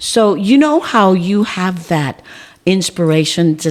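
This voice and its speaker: Through noticeable background noise, a woman with an American accent speaks at a very slow pace and medium pitch, her pitch swinging very widely. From South Texas (Beeville, Live Oak County). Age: 60s. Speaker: school board member and community figure. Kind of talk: casual interview conversation.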